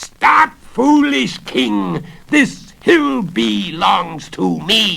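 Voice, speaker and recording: In a shrill put-on character voice, a man projects at a fairly high pitch and a very slow pace. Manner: shrieking, commanding.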